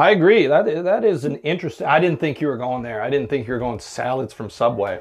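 A man with an American accent talks at a very fast pace with lively intonation and hardly any pauses. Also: fairly high pitch for a man. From US Midwest, Illinois. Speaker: podcast co-host. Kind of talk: casual chat. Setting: sauna.

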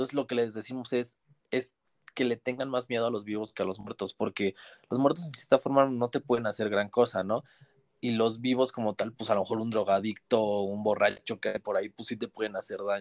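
In a very clean recording with a silent background, a man speaks at a medium pitch. His pace is fairly quick and his intonation fairly even. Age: 20s. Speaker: metro train driver and book influencer. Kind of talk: casual chat.

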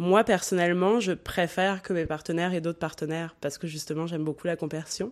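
A woman speaks at a fairly low pitch and a fairly quick pace, with ordinary pitch variation. The recording is very clean, with a silent background. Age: 30s. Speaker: podcast guest, polyamory advocate. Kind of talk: casual interview.

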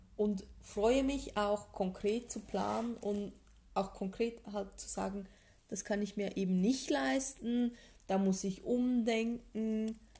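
Her voice is fairly high for a woman, somewhat breathy, with a dark, mellow tone. She speaks at a very slow pace with ordinary pitch variation. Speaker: podcast co-host. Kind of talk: casual chat. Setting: home living room.

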